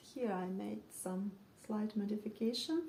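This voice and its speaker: Somewhat breathy, this woman's voice sits fairly high in pitch with a dark, mellow tone. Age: 40s. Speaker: knitting podcaster. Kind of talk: casual show-and-tell monologue. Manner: hesitant, with frequent fillers.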